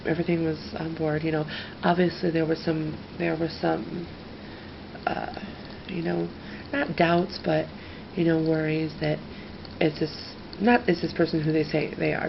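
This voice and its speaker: With noticeable background noise, a woman speaks at a moderate pace, leaving long, frequent pauses. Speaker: ASMR creator. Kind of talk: ASMR storytelling to camera. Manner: normal talking voice, not whispered.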